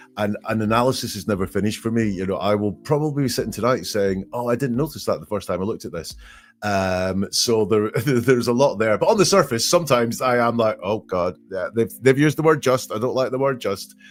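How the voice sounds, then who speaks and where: Against a silent background in a very clean recording, a man with a Scottish accent talks at a very fast pace and medium pitch, with ordinary pitch variation and hardly any pauses. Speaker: statement analysis expert. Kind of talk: interview. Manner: halting, many fillers.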